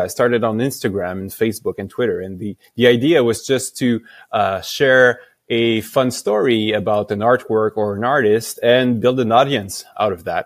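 A man with a French accent at a medium pitch, moderate pace and fairly even intonation. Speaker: company founder. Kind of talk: interview. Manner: halting, many fillers.

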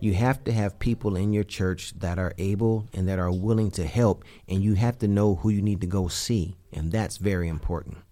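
On a very clean recording with a silent background, a man with a dark, mellow tone and fairly low pitch speaks at a moderate pace, with fairly even intonation and hardly any pauses. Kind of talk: casual devotional chat.

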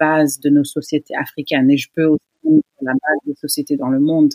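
A woman with a very deep, low pitch. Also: dry, close sound with no echo. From United States (Senegalese family). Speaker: gynecologist-obstetrician. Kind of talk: interview.

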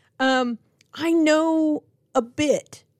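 This is a woman with an American accent. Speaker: pastor. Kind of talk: devotional podcast reflection.

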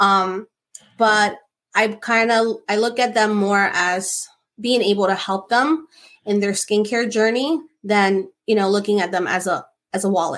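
On a very clean recording with a silent background, a woman with an American accent uses a normal speaking voice at medium pitch, a fairly slow pace, very even loudness and ordinary pitch variation. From New Jersey (Newark area). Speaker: esthetician and skincare business owner. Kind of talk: casual chat.

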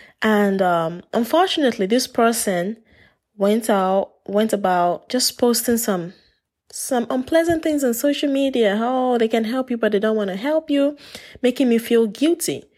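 A woman speaks at a moderate pace in a normal speaking voice, with fairly high pitch and lively intonation. Her loudness stays very even, and the recording is very clean with a silent background. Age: 20s. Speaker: podcast host. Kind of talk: solo podcast monologue.

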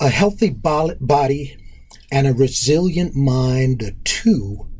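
A somewhat breathy voice with an American accent. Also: man. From New York City (Harlem, Queens, Long Island). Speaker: track coach and PE teacher. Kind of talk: interview. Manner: hesitant with many fillers.

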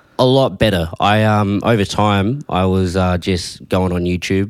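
A man with a very deep, low voice speaks in an Australian accent with fairly even intonation. The recording is very clean, with a silent background. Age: young. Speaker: young photographer. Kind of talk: casual chat.

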